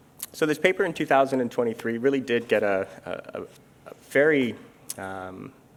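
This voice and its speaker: With lively intonation, a man talks at a fairly quick pace and medium pitch. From Canada, Vancouver. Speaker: international insurance standards official. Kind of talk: interview on stage. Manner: many fillers (um, uh).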